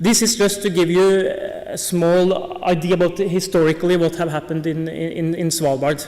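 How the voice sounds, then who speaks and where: There is audible room echo and noticeable background noise. A man speaks at a moderate pace with a high pitch and fairly even intonation. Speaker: polar bear researcher. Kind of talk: conference talk. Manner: hesitant, many fillers.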